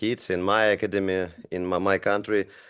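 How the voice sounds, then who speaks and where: A man speaks with a non-native accent. His pitch is fairly low. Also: quiet background. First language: not English. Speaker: basketball coach, podcast host. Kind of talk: podcast interview. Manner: halting, many fillers.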